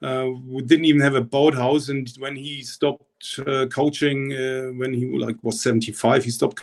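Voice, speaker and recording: A man's medium-pitched voice in a German accent, monotone and flat, at a moderate pace. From East Germany. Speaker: rowing coach. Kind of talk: interview. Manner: halting, many repetitions.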